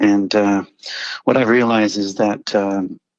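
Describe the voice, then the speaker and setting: The man's voice sits at a fairly low pitch. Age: 60s. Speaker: engineering professor on a long-distance bike trip. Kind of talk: radio interview. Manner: hesitant, many fillers and repetitions.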